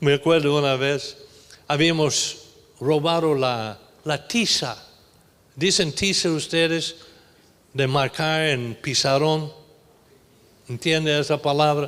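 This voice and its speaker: A man with a fairly high voice speaks at a very slow pace, leaving long, frequent pauses, his intonation fairly even and his loudness very even. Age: 70s. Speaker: pastor. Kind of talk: sermon. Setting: church.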